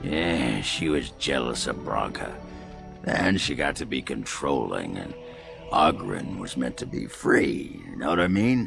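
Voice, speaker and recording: Clear music plays behind a raspy put-on character voice that moves at a fairly slow pace. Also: man. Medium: game stream. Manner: gruff, crude, boisterous, laughing.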